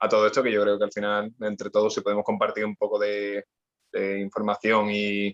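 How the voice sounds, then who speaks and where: A man with an Andalusian accent talks at a fairly quick pace and a fairly low pitch. His intonation stays flat and monotone, and the sound is dry and close with no echo. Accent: Andalusian (Cádiz). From Andalusia, Spain (Cádiz). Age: 20s. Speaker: personal trainer and sports rehab specialist. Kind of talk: podcast interview. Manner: halting, many repetitions.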